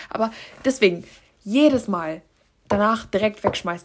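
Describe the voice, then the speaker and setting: Medium-pitched, somewhat breathy female speech with ordinary pitch variation. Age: 20s. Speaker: solo podcaster. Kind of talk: casual monologue.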